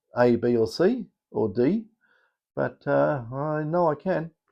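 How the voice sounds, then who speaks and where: A man speaks in a dark, mellow tone with an Australian accent. The background is quiet. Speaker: metal detector coil maker. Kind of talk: casual vlog. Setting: small electronics workshop. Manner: hesitant, many fillers.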